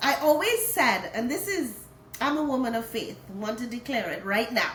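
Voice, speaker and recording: A woman's high-pitched, animated voice in a Trinidadian accent, moderate in pace with lively intonation, plus noticeable background noise and audible room echo. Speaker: hotel HR director and author. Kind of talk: interview.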